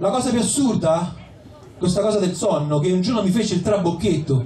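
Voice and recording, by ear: Lively intonation and a dark, mellow tone at a moderate pace, with audible room echo and faint crowd noise in the background. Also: man.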